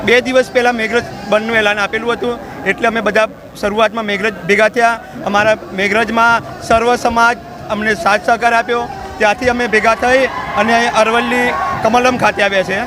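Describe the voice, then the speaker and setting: Over crowd noise, a man projects a raised voice at a high pitch, his intonation monotone and flat. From Gujarat, Meghraj taluka. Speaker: protester. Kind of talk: street interview at protest.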